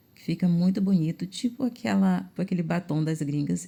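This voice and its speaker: A woman's fairly low, somewhat breathy voice with a dark, mellow tone, at a fairly quick pace. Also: very clean recording, silent background. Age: 40s. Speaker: makeup artist. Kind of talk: tutorial.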